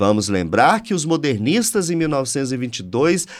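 A man at a medium pitch and fairly slow pace, with very wide pitch swings, in a very clean recording with a silent background. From Brazil, Minas Gerais (Triângulo Mineiro). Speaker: state culture and tourism official, architect. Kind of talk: interview conversation. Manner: animated.

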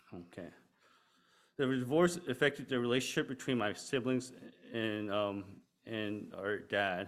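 A man with an American accent, medium pitch and ordinary pitch variation, at a fairly slow pace with long, frequent pauses, in a very clean recording with a silent background. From Pittsburgh, US. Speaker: church member. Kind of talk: testimony. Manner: halting.

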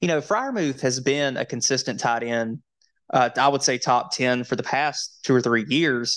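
The pace is moderate and the intonation fairly even. It is a plain, everyday voice. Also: man. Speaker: fantasy football podcast host. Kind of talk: casual sports banter podcast. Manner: casual, filler-heavy, conversational.

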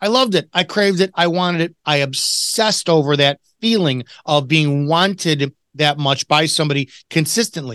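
In a Chicago accent, a man speaks at a high pitch with lively intonation, the sound dry and close with no echo. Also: quiet background. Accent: Chicago American. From Chicago, US. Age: 40s. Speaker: retired police officer and author. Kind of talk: casual interview conversation.

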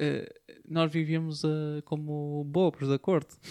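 A very slow, fairly high-pitched man with a European Portuguese accent, in a dry, close sound with no echo. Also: very clean recording, silent background. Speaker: podcast co-host. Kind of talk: casual chat.

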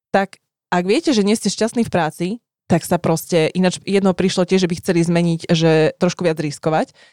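Her voice fairly low, dark and mellow, a woman speaks at a moderate pace with very even loudness and fairly even intonation. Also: dry, close sound with no echo. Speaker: podcast co-host. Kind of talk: casual chat.

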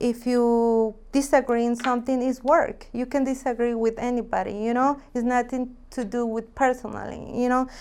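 High-pitched woman with a Mexican accent, monotone, flat intonation, a moderate pace and hardly any pauses. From Mexico, Jalisco. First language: Spanish. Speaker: real estate agent. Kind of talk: interview.

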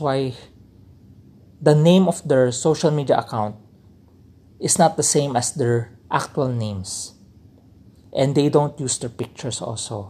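On a very clean recording with a silent background, a man with a fairly high pitch and a dark, mellow, somewhat breathy tone speaks at a fairly slow pace with lively intonation and long, frequent pauses. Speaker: podcast host. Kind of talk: solo talk, informal lecture.

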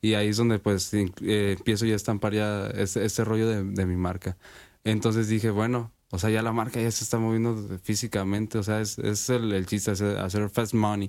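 Monotone, flat intonation at a moderate pace, with very even loudness. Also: man, fairly low pitch for a man. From Sinaloa, Mexico. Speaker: rapper. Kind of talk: interview.

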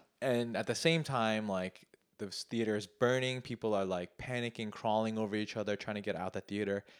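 At a fairly quick pace, a man in an ordinary speaking voice talks at a fairly low pitch with fairly even intonation, in a dry, close sound with no echo on a very clean recording with a silent background. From US, Korean American. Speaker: podcast host. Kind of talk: casual chat.

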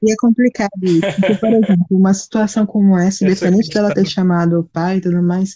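A woman speaks at a very fast pace in a dark, mellow tone. Her voice is somewhat breathy, and the sound is dry and close with no echo. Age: 30s. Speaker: teacher. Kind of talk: casual chat. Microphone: poor audio quality.

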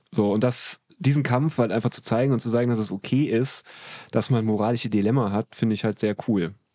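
Recorded with a dry, close sound and no echo, a man speaks at a fairly quick pace in a dark, mellow tone. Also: medium pitch for a man, ordinary pitch variation, very clean recording, silent background. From Germany, Trier. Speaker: comedian and comedy writer. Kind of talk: casual chat.

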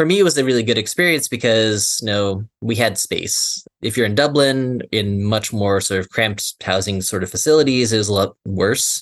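In an unremarkable speaking voice, a man with an American accent talks at a moderate pace and medium pitch with hardly any pauses, the sound dry and close with no echo. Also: ordinary pitch variation. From US Southwest, Phoenix, Arizona. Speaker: history professor. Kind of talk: interview. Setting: video call.

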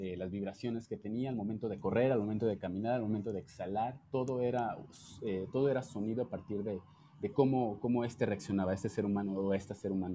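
A man with a fairly low pitch and a dark, mellow tone speaks at a very fast pace with fairly even intonation. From Jalisco, Mexico (small town). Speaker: dancer. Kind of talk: casual chat.

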